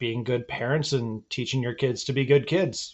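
In an unremarkable speaking voice, a man talks at a moderate pace. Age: 30s. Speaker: podcast host. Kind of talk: casual chat. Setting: video call.

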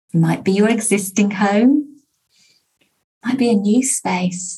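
A woman with a warm, calm tone and a somewhat breathy voice talks at a fairly slow pace with ordinary pitch variation. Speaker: success coach and podcast host. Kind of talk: guided meditation and prayer. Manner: calm, soothing, slow and gentle; warm, inviting, uplifting.

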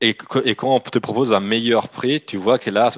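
Against a quiet background, a man with a slight Italian accent talks at a fairly quick pace with ordinary pitch variation, the sound dry and close with no echo. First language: Italian (speaking French). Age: 30s. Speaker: company CEO. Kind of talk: interview.

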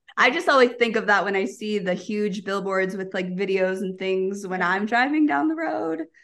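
A woman with an American accent talks at a moderate pace with hardly any pauses, her medium pitch carried by lively intonation. It is an ordinary speaking voice. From United States. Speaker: dive travel company co-owner. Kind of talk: casual interview chat.

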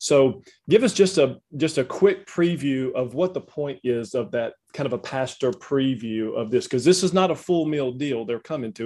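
In a very clean recording with a silent background, a man with a Southern US accent speaks at a medium pitch with ordinary pitch variation. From Louisiana. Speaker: ministry host. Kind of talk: interview conversation.

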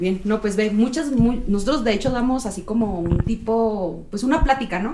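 A woman with a fairly high pitch and ordinary pitch variation, hardly any pauses, and noticeable background noise. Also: moderate pace. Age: 30s. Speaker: nun and cannabis legalization activist. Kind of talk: casual interview chat.

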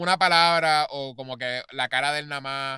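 A man with a Puerto Rican accent speaks fairly slowly in a fairly high voice with a bright, sharp tone and ordinary pitch variation. The recording is very clean, the background silent. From Puerto Rico. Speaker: podcast co-host. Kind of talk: casual chat.

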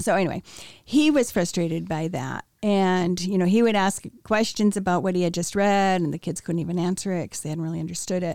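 A woman with an American accent talks at a fairly quick pace in a plain, everyday voice, medium in pitch with ordinary pitch variation, on a very clean recording with a silent background. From US Midwest, Wheaton, Illinois. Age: 60s. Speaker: interviewee sharing life story. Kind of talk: testimony.

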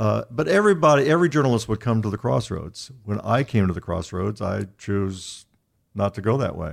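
Over a very clean recording with a silent background, a man with an Indiana accent talks at a fairly quick pace in a fairly low voice with vocal fry and lively intonation. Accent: Midwestern US (Indiana). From Indianapolis, Indiana. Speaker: sports journalist. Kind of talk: interview conversation.

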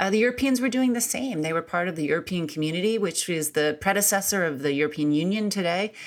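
Hardly pausing, a woman with an American accent and a fairly low pitch speaks very fast with lively intonation. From US Midwest (Akron, Ohio). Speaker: author and foreign policy scholar. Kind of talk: interview.

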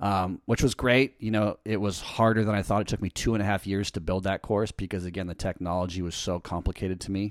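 A man with an American accent talks at a very fast pace. The recording is very clean, with a silent background. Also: fairly even intonation. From Southern California, Newport Beach. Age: 30s. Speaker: podcast host and online surf coach. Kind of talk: casual interview. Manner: casual, laid-back.

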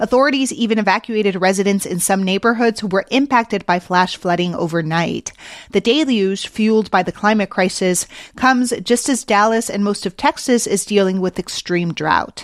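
A woman with an ordinary speaking voice talks at a medium pitch and a moderate pace with ordinary pitch variation, in a dry, close sound with no echo and a quiet background. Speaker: podcast host. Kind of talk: news reading.

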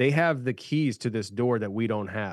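Against a quiet background, a man with a plain, everyday voice talks at a moderate pace and a medium pitch. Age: 30s. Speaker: podcast host. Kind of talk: casual chat.

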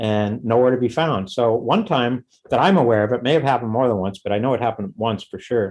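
A man with an American accent talks at a fairly quick pace and medium pitch. It is a plain, everyday voice. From US West Coast, Los Angeles. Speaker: punk drummer. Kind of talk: casual chat.

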